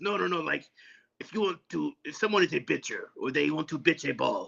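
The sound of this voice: A put-on character voice, gruff in texture. The delivery moves at a fairly quick pace.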